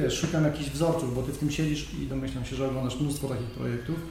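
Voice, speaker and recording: Amid noticeable background noise and audible room echo, a man talks at a very fast pace with fairly even intonation. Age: 40s. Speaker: podcast host, cycling journalist. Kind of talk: interview.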